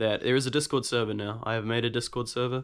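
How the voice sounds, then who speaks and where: A man with a New Zealand accent speaks at a very fast pace and medium pitch. His intonation is monotone and flat, on a very clean recording with a silent background. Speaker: guitarist YouTuber. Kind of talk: casual Q&A talk to camera. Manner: hesitant, many fillers.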